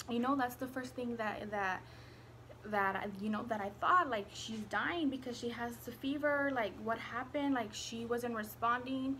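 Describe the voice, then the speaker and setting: A woman talks with a bright, sharp tone at a fairly high pitch, her pitch varying in an ordinary way. Room echo is audible around her. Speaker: vlogger. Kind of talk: story time, casual chat. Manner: slow, quiet so as not to wake baby; halting, many fillers.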